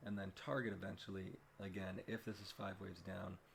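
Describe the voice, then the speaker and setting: At a moderate pace, the speech comes out somewhat breathy. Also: man. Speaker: crypto market analyst. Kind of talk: chart analysis narration. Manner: casual, hesitant.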